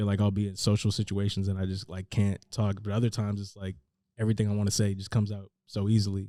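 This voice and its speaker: Speaking at a very fast pace, a man with a Northern California accent keeps a monotone, flat intonation. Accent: Northern California American. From San Francisco Bay Area, California. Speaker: rapper. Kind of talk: casual interview chat. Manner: hesitant, many fillers like 'like'.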